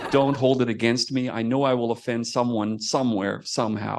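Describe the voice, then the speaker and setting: There is noticeable background noise and audible room echo. A man speaks at a medium pitch. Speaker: astronomer giving a talk. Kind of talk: lecture. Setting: theater with audience, streamed on video call. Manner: fast.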